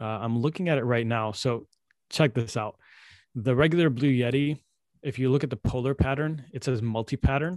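In a plain, everyday voice, a man speaks at a moderate pace with ordinary pitch variation and a dry, close sound with no echo. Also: medium pitch for a man. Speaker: podcast host. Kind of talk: casual chat. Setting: video call. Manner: casual.

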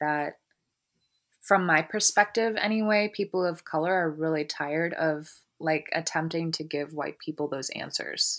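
In a very clean recording with a silent background, a woman with an American accent speaks in a plain, everyday voice, fairly low in pitch, at a fairly slow pace with ordinary pitch variation. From Columbus, Ohio. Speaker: therapist and social worker. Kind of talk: interview.

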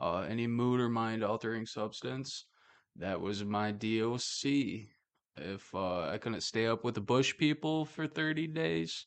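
A man talks with lively intonation. He has an ordinary speaking voice. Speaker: podcast host. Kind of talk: casual chat. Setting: office studio. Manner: casual, joking.

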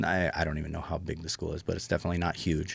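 In an American accent, a man speaks with a very deep, low pitch on a very clean recording with a silent background. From US Pacific Northwest. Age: 40s. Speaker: DJ and business owner. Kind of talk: casual interview conversation.

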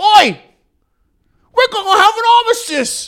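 A put-on character voice sits at an extremely high pitch. It moves at a moderate pace. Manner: shouting.

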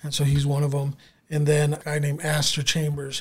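At a fairly quick pace, a man with an American accent speaks in a fairly high, somewhat breathy voice. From Southern California (San Diego area). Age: 30s. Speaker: store owner. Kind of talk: casual interview.

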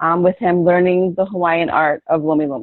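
In an American accent, a woman with a plain, everyday voice at medium pitch talks at a moderate pace with fairly even intonation. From US Northeast, Philadelphia. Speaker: bodywork practitioner. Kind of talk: interview.

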